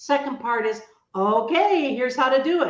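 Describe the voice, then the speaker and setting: A woman speaks with a high pitch and lively intonation. Her tone is energetic. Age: 80s+. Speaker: author and entrepreneur. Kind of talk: radio interview.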